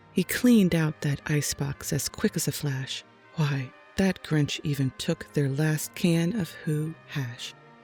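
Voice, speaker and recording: Soft-spoken and calm in tone, the voice moves at a fairly slow pace over music in the background. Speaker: storyteller. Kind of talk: children's rhyming story read aloud. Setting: home studio microphone. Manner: soft-spoken, calm.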